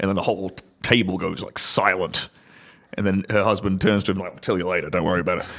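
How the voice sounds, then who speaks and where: With an Australian accent, a man speaks very fast in a very deep, low voice with monotone, flat intonation. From Australia, outback. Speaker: former adult film actor turned entrepreneur. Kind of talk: casual chat.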